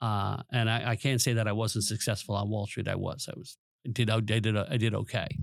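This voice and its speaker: Speaking in an American accent, a man uses a fairly low pitch and a monotone, flat intonation at a fairly quick pace. The recording is very clean, with a silent background. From Long Island, New York. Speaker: teacher and former professor. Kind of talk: presentation then interview. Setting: studio.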